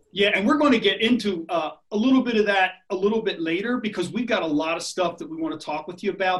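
A man with a Philadelphia accent talks at a fairly quick pace, his high voice rising and falling in a lively way. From Philadelphia area. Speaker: podcast co-host. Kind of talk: casual interview. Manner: enthusiastic.

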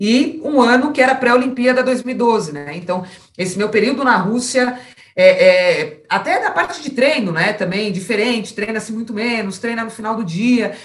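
In a room with audible echo, a woman speaks at a fairly high pitch with ordinary pitch variation. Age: 30s. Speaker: former professional footballer. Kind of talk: interview.

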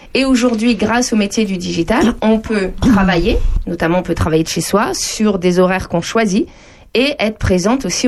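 A woman speaks at a moderate pace with a medium pitch and ordinary pitch variation over noticeable background noise. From France, various regions. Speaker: entrepreneur and digital trainer. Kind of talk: radio interview.

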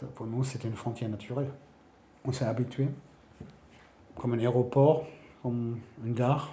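A man with a German accent speaks at a moderate pace and medium pitch, with fairly even intonation. Long, frequent pauses break his speech, and the room echo is audible. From Germany, West Berlin. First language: German (speaking French). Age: 50s. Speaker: interviewee recalling the Berlin Wall. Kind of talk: testimony. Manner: halting.

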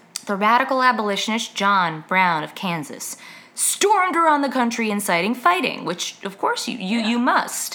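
A woman at a fairly high pitch and moderate pace, her pitch swinging very widely, amid noticeable background noise. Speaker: podcast host. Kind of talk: casual chat.

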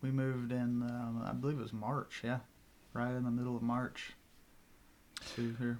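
A man in a Southern US accent speaks at a moderate pace and medium pitch, monotone and flat, with long, frequent pauses. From US South, Arkansas (Bentonville). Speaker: student pastor. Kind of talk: testimony.

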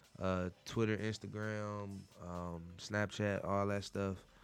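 Music in the background beneath a man's fairly low-pitched voice. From Detroit east side. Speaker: rapper. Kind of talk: casual chat.

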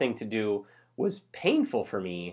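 A loud man. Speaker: podcast host. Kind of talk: casual chat.

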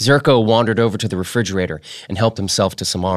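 The text comes across in a natural reading voice. The reading is delivered aloud.

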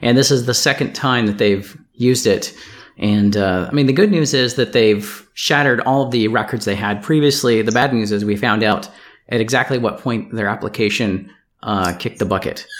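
An ordinary speaking voice from a man at medium pitch, moderate pace and ordinary pitch variation. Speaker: podcast co-host. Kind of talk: casual interview chat. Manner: jokey.

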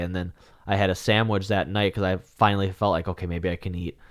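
On a very clean recording with a silent background, a man with an American accent talks at a very fast pace in a fairly low pitch. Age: 20s. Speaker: real estate agent. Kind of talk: casual chat.

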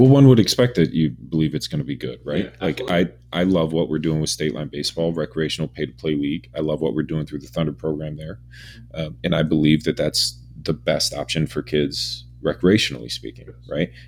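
A man's very deep, low voice with vocal fry, ordinary pitch variation and a very fast pace. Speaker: radio announcer and business owner. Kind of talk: casual chat.

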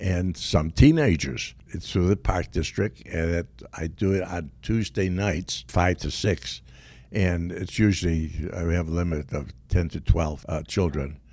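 Very deep, low male voice with ordinary pitch variation, on a very clean recording with a silent background. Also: fairly slow pace. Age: 90s. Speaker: wood carver and volunteer teacher. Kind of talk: interview. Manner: halting.

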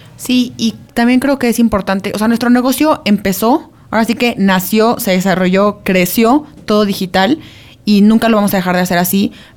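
A woman with a normal speaking voice talks at a moderate pace in a medium pitch with ordinary pitch variation. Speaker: podcast co-host and entrepreneur. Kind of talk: casual chat.

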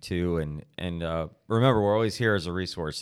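A man's very deep, low voice with an American accent on a very clean recording with a silent background. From United States. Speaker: church staff member. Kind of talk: casual panel discussion.

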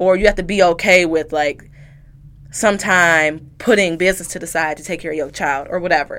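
A woman with an unremarkable speaking voice and an American accent talks at a fairly quick pace and fairly low pitch. Her intonation is fairly even, but her loudness swings a lot. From Detroit, Michigan. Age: 20s. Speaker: blogger and mother. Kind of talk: interview.

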